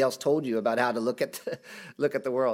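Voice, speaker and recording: The speaker is a man. His recording is very clean, with a silent background. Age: 40s. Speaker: pastor. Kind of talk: sermon. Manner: halting.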